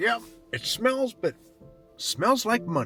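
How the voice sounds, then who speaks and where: Over clear music in the background, a man uses a put-on character voice, pitched high and delivered at a fairly slow pace. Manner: gruff, cocky.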